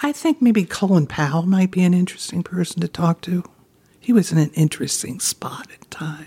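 This woman has a dark, mellow, somewhat breathy voice with lively intonation and an American accent. She talks at a fairly quick pace, and the sound is dry and close with no echo. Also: fairly low pitch for a woman, big swings in loudness. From Baltimore, Maryland. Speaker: retired interior design business owner. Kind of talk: interview. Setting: at home.

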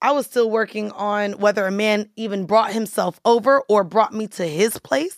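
A woman's unremarkable speaking voice, fairly high in pitch with ordinary variation, moderate in pace with hardly any pauses, dry and close with no echo. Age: 30s. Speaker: podcaster and studio owner. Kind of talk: casual chat. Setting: studio.

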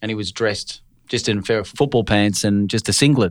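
A fairly low-voiced man with an Australian accent at a fairly quick pace, on a very clean recording with a silent background. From Australia, Brisbane. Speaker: finance broker. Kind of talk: casual interview.

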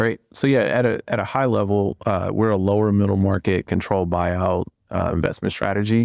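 A man with an ordinary speaking voice, fairly low in pitch, at a fairly quick pace with hardly any pauses, fairly even intonation and very even loudness, in a dry, close sound with no echo over a quiet background. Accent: American. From US Midwest, Cleveland. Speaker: private equity fund co-founder. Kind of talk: podcast interview.

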